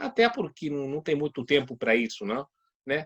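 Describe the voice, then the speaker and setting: The man's voice shows ordinary pitch variation in a dry, close sound with no echo. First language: Spanish (speaking Portuguese). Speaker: judge and law lecturer. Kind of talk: lecture. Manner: halting, many hesitations.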